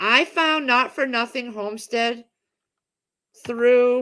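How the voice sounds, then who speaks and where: The tone is bright and sharp in a very clean recording with a silent background. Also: woman. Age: 50s. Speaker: homesteading livestream host. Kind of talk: casual livestream chat. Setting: home livestream. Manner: rambling, hesitant with many fillers.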